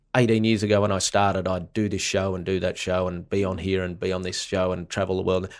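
The recording is very clean, with a silent background. A man talks in an Australian accent. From Australia, country Victoria. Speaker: comedian. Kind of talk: casual chat. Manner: animated.

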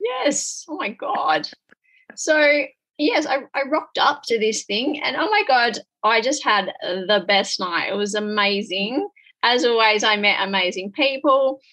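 The speaker has an Australian accent and a bright, sharp tone. Delivery is fairly slow, with lively intonation. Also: woman, high pitch for a woman. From rural Western Australia. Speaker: podcast host and business mentor. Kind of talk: casual chat. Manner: animated.

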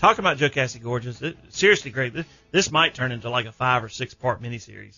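Someone with a Southern US accent talks at a very fast pace, with ordinary pitch variation. The loudness swings widely, and music plays in the background. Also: man, medium pitch for a man. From South Carolina. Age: 50s. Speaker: outdoors radio host. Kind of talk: casual radio interview. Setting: studio.

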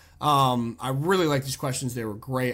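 A man talks at a fairly quick pace in a medium pitch with an unremarkable speaking voice. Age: 20s. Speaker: sports podcast host. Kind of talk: casual chat.

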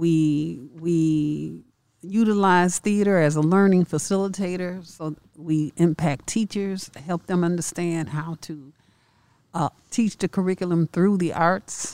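A woman with a fairly low pitch and a dark, mellow tone speaks at a fairly slow pace with fairly even intonation, in a dry, close sound with no echo on a very clean recording with a silent background. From Chicago. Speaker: theater founder and actress. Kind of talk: interview.

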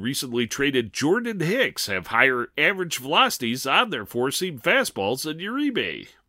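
Recorded very cleanly against a silent background, a man talks at a moderate pace in a bright, sharp tone, his pitch swinging very widely. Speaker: baseball analyst. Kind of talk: scripted player report.

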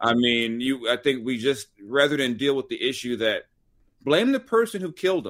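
Speaking with an American accent, a man with an unremarkable speaking voice uses a medium pitch, a moderate pace and lively intonation. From Los Angeles, US West Coast. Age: 40s. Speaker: sports and culture writer. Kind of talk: casual chat.

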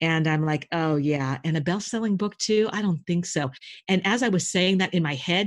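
A plain, everyday voice from a woman, fairly low in pitch, with lively intonation, a fairly quick pace and very even loudness against a quiet background. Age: 50s. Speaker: intuitive business coach. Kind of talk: casual chat.

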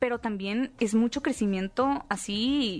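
Against background music, a woman's voice sits rather high. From northern Mexico, Hermosillo, Sonora. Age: 20s. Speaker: content creator and activist. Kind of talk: interview.

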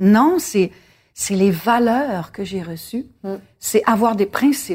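Somewhat breathy, a woman at a medium pitch talks at a fairly slow pace with lively intonation on a very clean recording with a silent background. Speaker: singer. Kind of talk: casual interview over dinner.

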